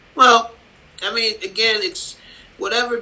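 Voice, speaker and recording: With an American accent, a man talks at a fairly slow pace against noticeable background noise. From Cleveland, Ohio (Cleveland Heights). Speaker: comics artist. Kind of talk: casual interview. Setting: video call.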